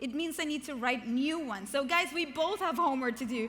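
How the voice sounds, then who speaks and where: Delivered with a non-native accent, the speech has lively intonation and an animated tone, with audible room echo and noticeable background noise. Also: woman. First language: not English. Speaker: keynote speaker and author. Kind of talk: motivational keynote speech. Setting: stage with large audience.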